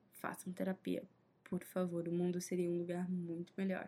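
Here is a woman whose voice sounds somewhat breathy. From Brazil, Minas Gerais. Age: 20s. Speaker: podcast host, journalism student. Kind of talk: casual solo monologue.

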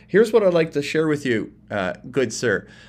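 A man speaks in an unremarkable speaking voice with lively intonation. He has a Canadian accent. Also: very clean recording, silent background. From Canada. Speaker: self-help speaker. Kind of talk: direct-to-camera monologue.

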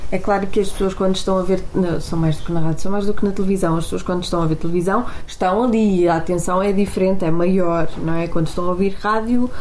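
A woman talks at a medium pitch. Noticeable background noise runs beneath her. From Portugal, Porto. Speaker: radio presenter. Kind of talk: casual chat.

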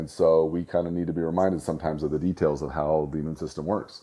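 A man speaks very fast in a very deep, low voice with a dark, mellow tone and monotone, flat intonation. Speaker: chiropractor podcast host. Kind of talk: solo talk about an upcoming seminar. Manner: informal, rambling with filler words.

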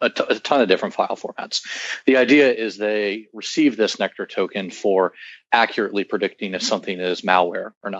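His intonation stays fairly even and his pitch sits fairly low. This man talks at a fairly quick pace. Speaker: startup CEO. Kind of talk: interview, explanatory. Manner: hesitant, filler words.

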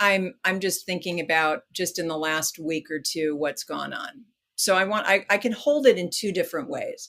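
Using an ordinary speaking voice, a woman with an American accent talks at medium pitch. Her pace is moderate, her intonation lively, and she hardly pauses. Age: 50s. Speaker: education consultant and author. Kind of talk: interview.

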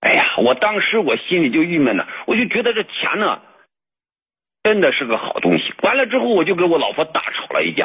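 The pace is fairly quick. Pitch swings very widely throughout. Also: man, high pitch for a man. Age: 40s. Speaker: caller. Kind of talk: call-in advice conversation. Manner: halting.

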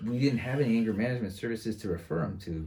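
In an American accent, a man talks at a very fast pace with a dark, mellow tone, ordinary pitch variation and a somewhat breathy quality. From San Francisco, California. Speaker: teacher and former probation officer. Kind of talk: casual chat.

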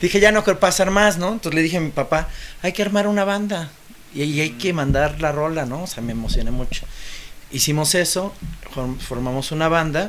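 There is noticeable background noise as a man talks at a fairly quick pace. His pitch is fairly high, with ordinary variation. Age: 40s. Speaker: musician. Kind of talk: casual chat.

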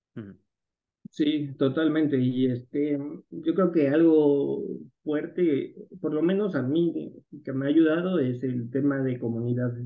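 A man talks at a very slow pace. His pitch is fairly high. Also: ordinary pitch variation. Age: 30s. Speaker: algorithmic crypto trader and entrepreneur. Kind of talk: interview conversation.

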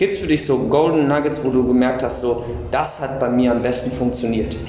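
Over noticeable background noise and audible room echo, a man talks at medium pitch and a moderate pace. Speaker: podcast host. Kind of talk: casual interview. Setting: gym weight room.

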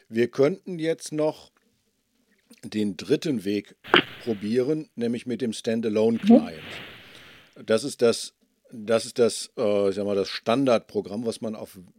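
A man speaks at a very slow pace with a medium pitch, ordinary pitch variation and a dark, mellow tone, the sound dry and close with no echo. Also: big swings in loudness. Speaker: podcaster testing recording setup. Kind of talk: casual technical test call.

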